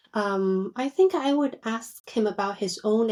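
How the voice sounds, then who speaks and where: A woman's fairly high voice, dark and mellow in tone, with lively intonation at a fairly slow pace, on a very clean recording with a silent background. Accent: Chinese. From China, moved to US at age eleven. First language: Chinese. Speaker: psychiatrist. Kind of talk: casual interview chat. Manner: hesitant, with fillers.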